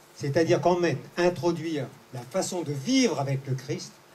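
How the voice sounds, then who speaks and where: Against noticeable background noise, a man talks at a fairly high pitch. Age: 70s. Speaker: audience member. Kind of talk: audience comment in Q&A session. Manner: halting, with many restarts.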